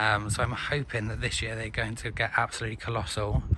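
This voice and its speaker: In a British accent, a man speaks at a fairly quick pace and medium pitch with monotone, flat intonation, with noticeable background noise. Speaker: tropical gardening hobbyist. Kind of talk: casual talk to camera. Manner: casual, hesitant with fillers.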